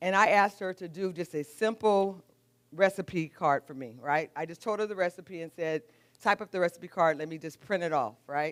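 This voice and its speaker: A woman with a normal speaking voice, medium pitch and lively intonation, on a very clean recording with a silent background. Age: 60s. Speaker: juice business owner. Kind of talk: live presentation.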